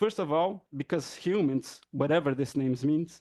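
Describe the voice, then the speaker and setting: A man with a Brazilian accent speaks in a fairly high pitch with a dark, mellow tone against a quiet background. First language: Brazilian Portuguese. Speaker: professor. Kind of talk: academic talk. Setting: conference panel with audience.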